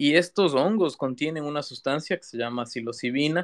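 In an ordinary speaking voice, a man talks at a moderate pace and a fairly high pitch, the sound dry and close with no echo. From Ecuador, Quito. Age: 20s. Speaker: digital artist. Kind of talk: interview conversation. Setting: live audio room online.

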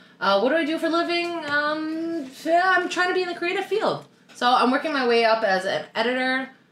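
A woman talks at a moderate pace with a Canadian accent. Noticeable background noise runs behind her. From Canada, Toronto. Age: 30s. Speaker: podcast co-host. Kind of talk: casual chat.

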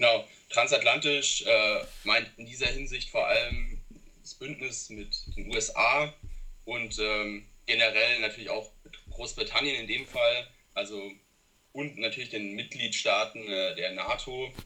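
Fairly slow speech from a man, with long, frequent pauses. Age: 20s. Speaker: student and youth party politician. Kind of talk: interview. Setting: remote call. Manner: hesitant with many fillers.

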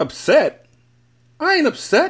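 A man's put-on character voice, extremely high-pitched and fairly bright, with very wide pitch swings at a slow pace

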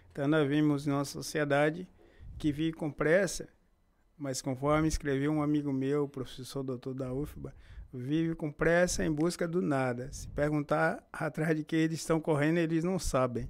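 A man speaks in a normal speaking voice with a fairly high pitch and fairly even intonation. The pace is moderate, on a very clean recording with a silent background. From Bahia, Brazil (Feira de Santana). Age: 50s. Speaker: local historian. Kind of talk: interview. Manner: formal.

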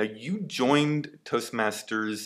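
This man has an ordinary speaking voice with ordinary pitch variation. He talks at a fairly slow pace. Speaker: podcast host. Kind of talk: podcast interview.

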